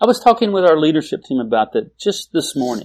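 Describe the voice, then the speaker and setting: The man's voice has a fairly high pitch. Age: 50s. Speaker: pastor and author. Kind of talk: interview conversation.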